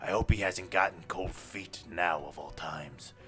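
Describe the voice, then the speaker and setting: A man speaks in a put-on character voice with a solemn tone at a moderate pace. Clear music plays in the background. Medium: game stream. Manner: commanding, solemn.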